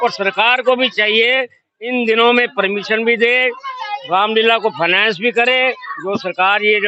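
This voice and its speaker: Extremely high-pitched for a man, his voice holds a fairly even intonation. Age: 70s. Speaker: Ramlila committee member and actor. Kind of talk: interview.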